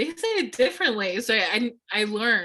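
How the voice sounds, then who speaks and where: A woman with a Spanish accent and a bright, sharp tone, in a very clean recording with a silent background. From California. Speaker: panelist. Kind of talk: panel discussion.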